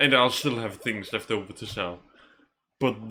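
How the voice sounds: Bright and sharp in tone, a man speaks at a fairly quick pace. His pitch is fairly low and his intonation fairly even.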